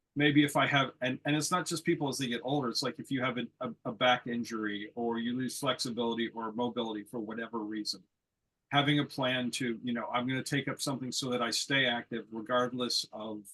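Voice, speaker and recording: Speaking with an American accent, a man delivers his words at a fairly quick pace in a bright, sharp tone with fairly even intonation. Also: medium pitch for a man. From United States. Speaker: lawn bowls player, panelist. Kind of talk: panel discussion.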